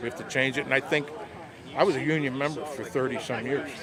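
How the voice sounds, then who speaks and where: A man with an American accent speaks at a fairly high pitch in a fairly even intonation. Noticeable background noise runs beneath his voice. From western Pennsylvania, Pittsburgh area. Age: 60s. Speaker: rally attendee, union member. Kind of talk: street interview.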